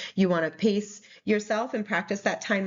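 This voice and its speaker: This woman has a New England accent and a medium pitch. She talks at a moderate pace. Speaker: nursing exam tutor. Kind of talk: recorded slide presentation. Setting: recorded presentation video. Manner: casual with fillers.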